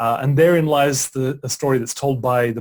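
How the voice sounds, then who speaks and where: This man's voice is somewhat breathy. His pitch moves in an ordinary way. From Australia. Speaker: author and broadcaster. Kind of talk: interview conversation.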